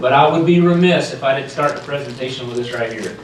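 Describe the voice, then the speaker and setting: Someone with a North Carolina accent speaks with ordinary pitch variation, with audible room echo and noticeable background noise. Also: man. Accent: Southern US (North Carolina). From North Carolina, US South. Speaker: sales executive, keynote speaker. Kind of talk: keynote address. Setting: stage with audience. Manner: animated, passionate.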